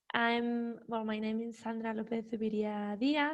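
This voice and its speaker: At a moderate pace, a woman speaks in a Spanish accent. Her pitch is fairly high, and her intonation is monotone and flat. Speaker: criminologist and professor. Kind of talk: conference presentation. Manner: halting.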